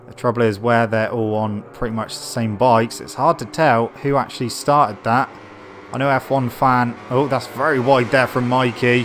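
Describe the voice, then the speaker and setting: Music plays in the background as a man speaks at a moderate pace. He has a medium pitch and a British accent. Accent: British, noticeable. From Britain. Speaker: gaming streamer and race commentator. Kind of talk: live commentary. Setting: live stream. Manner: animated.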